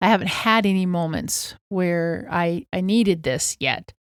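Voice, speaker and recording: At a moderate pace, a woman talks in a normal speaking voice at medium pitch, recorded very cleanly against a silent background. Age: 60s. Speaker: podcast co-host. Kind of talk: casual chat.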